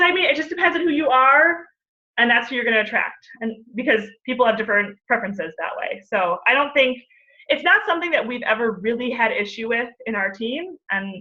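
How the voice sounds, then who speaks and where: Her pitch high and swinging very widely, a woman speaks at a fairly quick pace. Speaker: fitness coach. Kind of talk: webinar Q&A. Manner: fast; animated.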